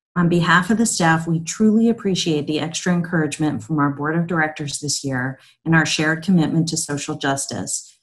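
A woman speaks in a very deep, low, somewhat breathy voice with ordinary pitch variation. She talks at a fairly quick pace with hardly any pauses against a quiet background. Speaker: nonprofit CEO. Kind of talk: prepared speech. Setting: virtual event video. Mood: warm, upbeat. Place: home room. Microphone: webcam.

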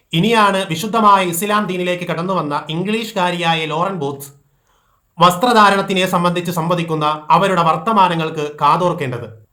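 In a room with audible echo, a man talks. His voice is high-pitched, with a bright, sharp tone. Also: ordinary pitch variation. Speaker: Islamic preacher. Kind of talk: religious talk. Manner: formal.

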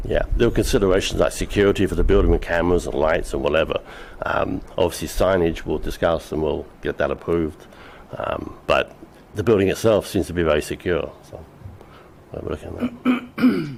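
Noticeable background noise runs through the clip. A man speaks over it at a fairly quick pace. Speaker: business applicant. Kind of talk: public meeting presentation. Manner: halting.

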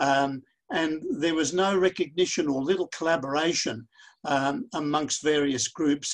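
A man with an Australian accent and ordinary pitch variation, against a quiet background. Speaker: pharmacist and workshop facilitator. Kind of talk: webinar facilitation. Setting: online video conference. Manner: halting, many repetitions. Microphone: webcam.

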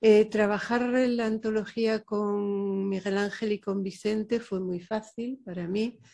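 Very slowly, a woman speaks in a dark, mellow tone with monotone, flat intonation. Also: quiet background. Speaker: poet. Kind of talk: panel discussion. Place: hall. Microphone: podium.

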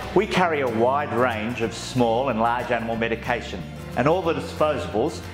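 Moderate pace from a man, clear music playing behind him. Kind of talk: guided tour presentation.

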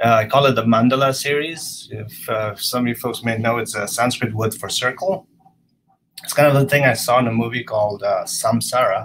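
Delivered at a fairly quick pace, this is a plain, everyday voice with ordinary pitch variation. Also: man, medium pitch for a man. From Canada (Vancouver). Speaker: photographer. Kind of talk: presentation of own work. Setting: video call.

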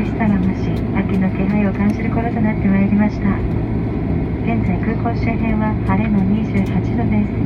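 A woman speaks at a moderate pace, and loud background noise is heard behind her. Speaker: flight attendant. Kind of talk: in-flight cabin announcement. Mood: soft, polite, warm. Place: plane.

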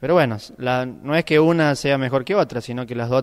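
This man has a normal speaking voice, pitched in the medium range with ordinary pitch variation. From Argentina, Córdoba province countryside. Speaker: bocce world champion. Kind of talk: interview.

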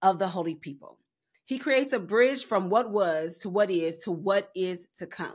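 A woman's intonation is lively, with quiet behind her. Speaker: Bible study teacher. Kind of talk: Bible study teaching. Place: home room. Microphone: studio mic.

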